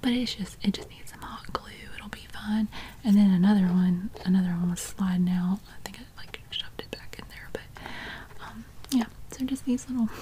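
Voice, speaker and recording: A soft-spoken woman talks at a moderate pace with ordinary pitch variation and big swings in loudness. Light background noise can be heard. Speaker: home decor vlogger. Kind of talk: casual vlog chat. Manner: soft-spoken, hushed ASMR voice. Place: home room. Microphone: phone near.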